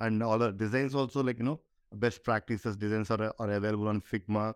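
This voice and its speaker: A man talks at a fairly quick pace with a medium pitch. The sound is dry and close, with no echo. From India. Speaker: tech startup co-founder. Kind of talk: interview. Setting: live at a conference. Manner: halting, many fillers.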